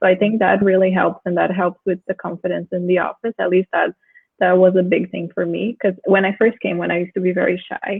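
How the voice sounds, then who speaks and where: This woman has a non-native accent and a medium-pitched voice that stays monotone and flat. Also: fairly quick pace. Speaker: discussion moderator. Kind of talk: panel discussion.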